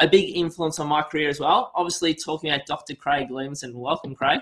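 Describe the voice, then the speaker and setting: Speaking at a fairly quick pace, a man with a fairly high voice keeps his intonation fairly even. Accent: Australian. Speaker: podcast host. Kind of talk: interview.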